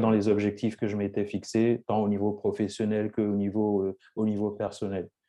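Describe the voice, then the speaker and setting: A dark, mellow voice with monotone, flat intonation at a moderate pace, over a quiet background. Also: man. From France, Lyon region (Cameroonian family). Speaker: entrepreneur. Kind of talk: interview. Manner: halting, many repetitions and fillers.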